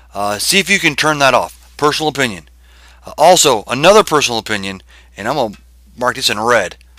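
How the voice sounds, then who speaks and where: In a very clean recording with a silent background, a man with a fairly high pitch, a bright, sharp tone and vocal fry speaks at a moderate pace with very wide pitch swings. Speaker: web design video podcaster. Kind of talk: screen-share website critique tutorial. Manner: casual with fillers and self-corrections.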